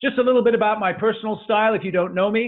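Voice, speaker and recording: A man at a very fast pace. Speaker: business coach. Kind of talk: webinar presentation. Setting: online webinar call. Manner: animated.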